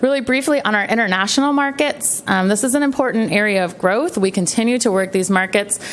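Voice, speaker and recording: A woman talks at a very fast pace with hardly any pauses, her fairly high pitch carried by lively intonation at a very even loudness over noticeable background noise. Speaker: county tourism marketing presenter. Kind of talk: presentation at public meeting.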